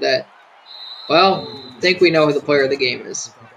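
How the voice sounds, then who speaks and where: Over noticeable background noise, a man sounds excited as he speaks in a fairly high voice. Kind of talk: sports commentary. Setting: live stream. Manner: excited, urgent, peppered with laughs and ad-libbed calls.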